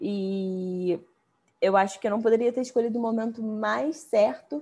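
A woman with a plain, everyday voice, medium pitch, lively intonation and a fairly slow pace. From Brazil. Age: 20s. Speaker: business founder. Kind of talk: interview.

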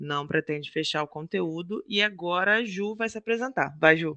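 A man with a Rio de Janeiro accent speaks at a fairly slow pace, his high pitch varying in an ordinary way. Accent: carioca. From Rio de Janeiro, Brazil. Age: 30s. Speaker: podcast co-host. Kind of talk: casual podcast introduction.

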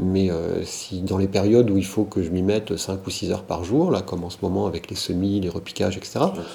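At a fairly quick pace with hardly any pauses, a man with a very deep, low pitch speaks in fairly even intonation. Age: 50s. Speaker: political science lecturer. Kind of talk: interview conversation. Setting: at his home. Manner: hesitant, with many fillers.

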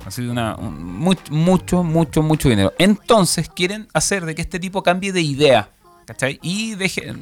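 A man speaks at a moderate pace with a fairly high pitch and very wide pitch swings. Noticeable background noise sits behind him. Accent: Chilean. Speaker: podcast host. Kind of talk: casual chat. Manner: animated.

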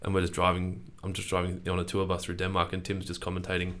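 The speech moves at a very fast pace, with audible room echo. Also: man. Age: 30s. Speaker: podcast host. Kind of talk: casual chat. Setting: studio.

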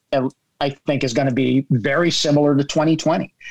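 An ordinary speaking voice at a moderate pace. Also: man. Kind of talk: casual group chat. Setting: video call.

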